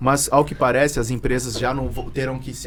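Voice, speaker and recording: Room echo can be heard. A man speaks very fast within it. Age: 30s. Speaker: tax consultant. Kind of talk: podcast interview. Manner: halting.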